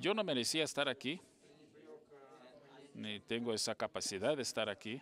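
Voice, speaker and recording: This man speaks at medium pitch with a Portuguese accent. He takes long, frequent pauses. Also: ordinary pitch variation, moderate pace. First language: Portuguese (speaking Spanish). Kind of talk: panel speech. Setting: conference panel.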